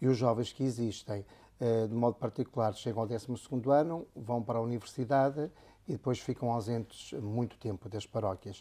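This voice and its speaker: A dark, mellow tone comes with a northern Portuguese accent at a moderate pace and fairly even intonation. The recording is very clean, with a silent background. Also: man. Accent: northern Portuguese accent, kept. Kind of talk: interview conversation.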